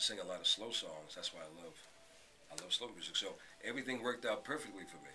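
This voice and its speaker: With an American accent, a man talks while noticeable noise fills the background. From Brooklyn, New York City. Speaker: radio host. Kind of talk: interview.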